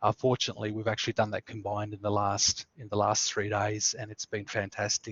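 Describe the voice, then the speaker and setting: A man talks with a strong Australian accent. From Tasmania, Australia. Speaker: student services coordinator. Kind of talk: webinar presentation. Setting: online webinar. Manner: many fillers (uh, um).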